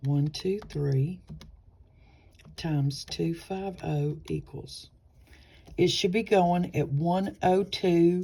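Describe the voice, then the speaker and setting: A woman speaks very slowly in a dark, mellow, somewhat breathy voice, her pitch fairly low and only ordinarily varied, with long, frequent pauses. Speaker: nursing tutor. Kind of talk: tutorial. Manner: casual, chatty; halting, stumbling.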